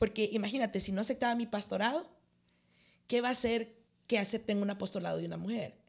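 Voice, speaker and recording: A woman talks very fast in a fairly high voice with vocal fry and fairly even intonation. Her speech has long, frequent pauses. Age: 50s. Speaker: pastor. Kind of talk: interview.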